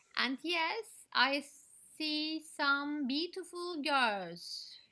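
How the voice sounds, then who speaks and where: A woman speaks at a very slow pace in a Turkish accent. Her tone is bright and sharp. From Turkey. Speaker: storyteller. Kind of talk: casual Q&A in online meeting. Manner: normally loud. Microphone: sounds too quiet, technical problem.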